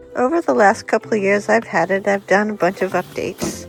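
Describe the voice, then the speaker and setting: Music plays in the background. A woman talks at a moderate pace with a medium pitch. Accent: American. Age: 60s. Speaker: van life traveler. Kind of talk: casual DIY van build narration.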